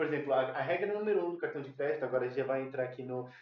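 There is audible room echo and noticeable background noise as a man speaks at a fairly high pitch with ordinary pitch variation. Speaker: podcast co-host. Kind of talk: casual chat. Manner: halting.

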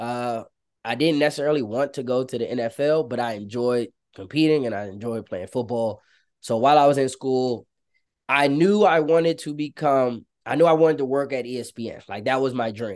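In an ordinary speaking voice, a man talks at a fairly quick pace and medium pitch, with ordinary pitch variation against a quiet background. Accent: American. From Maryland, US (Prince George's County). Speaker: social media manager. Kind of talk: interview storytelling.

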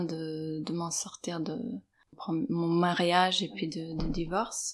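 On a very clean recording with a silent background, a woman with a fairly low pitch speaks at a very slow pace. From Serbia. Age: 40s. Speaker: interviewee parent. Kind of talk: testimony. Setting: at home. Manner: halting.

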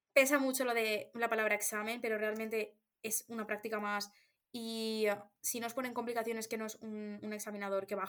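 In an unremarkable speaking voice, a woman talks at a fairly quick pace with a fairly high pitch and fairly even intonation. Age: 20s. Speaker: podcast co-host. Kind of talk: casual chat.

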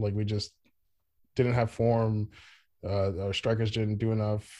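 Against a quiet background, a man speaks at a medium pitch with a dark, mellow tone and fairly even intonation. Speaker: podcast host and soccer fan. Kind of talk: casual chat.

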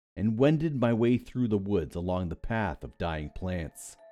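With music in the background, a man with a fairly low voice speaks at a moderate pace, his pitch swinging very widely. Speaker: narrator of creepypasta stories. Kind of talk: scripted horror story narration, ghost story telling. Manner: tense, hushed, suspenseful pacing with dramatic build.

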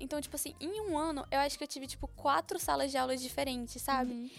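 A woman talks at a very fast pace in a high pitch. The recording is very clean, with a silent background. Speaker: podcast co-host. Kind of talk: casual chat.

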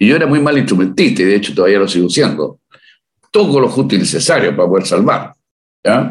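A man with vocal fry races at a very fast pace through very wide pitch swings while his loudness stays very even. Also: medium pitch for a man. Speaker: musician, leader of a Beatles tribute band. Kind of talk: interview.

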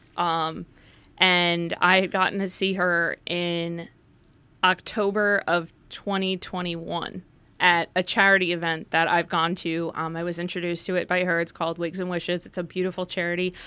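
The recording is very clean, with a silent background. A woman with a fairly low, bright and sharp voice speaks at a moderate pace in a monotone, flat intonation. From northern New Jersey, Essex County. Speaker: journalist and author. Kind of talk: casual interview.

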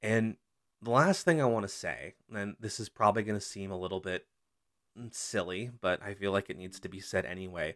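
A man with a fairly low voice speaks at a moderate pace in a plain, everyday voice, with fairly even intonation but big swings in loudness. The sound is dry and close with no echo, in a very clean recording with a silent background. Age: 30s. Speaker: college student podcast host. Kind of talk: solo podcast monologue. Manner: casual, conversational.

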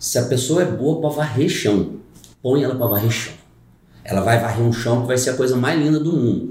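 Against audible room echo, a man of medium pitch speaks fairly quickly in a somewhat breathy voice, with ordinary pitch variation and very even loudness. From Brazil, rural Caldas, Minas Gerais. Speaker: carpenter and brewer, youtuber. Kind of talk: casual chat.

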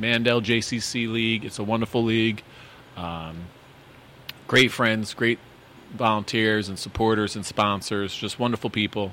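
A fairly slow pace with fairly even intonation and long, frequent pauses. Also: man, medium pitch for a man. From Connecticut, Waterbury. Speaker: podcast host and teacher. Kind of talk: casual interview chat.

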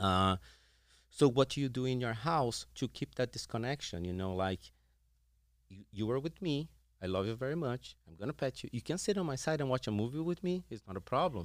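Recorded very cleanly against a silent background, with a dry, close sound and no echo, a man speaks at a fairly quick pace and medium pitch, his pitch swinging very widely and his loudness rising and falling sharply. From Brazil. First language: Portuguese. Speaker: veterinarian and animal behaviorist. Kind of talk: interview.

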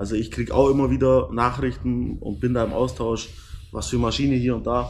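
The intonation is lively, heard through audible room echo and noticeable background noise. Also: man. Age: 30s. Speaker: metalworker and business owner. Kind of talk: casual interview. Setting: indoors on a couch at a camper dealer.

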